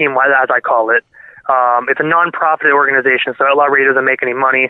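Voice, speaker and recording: A man talks at a very fast pace in a Canadian accent. His fairly high voice has monotone, flat intonation. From Canada, Ontario. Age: 20s. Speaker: internet radio DJ. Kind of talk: casual interview chat. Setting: phone call.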